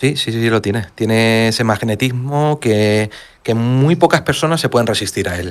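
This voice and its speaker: On a very clean recording with a silent background, a man speaks at a moderate pace with ordinary pitch variation. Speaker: mystery podcaster. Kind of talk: casual chat.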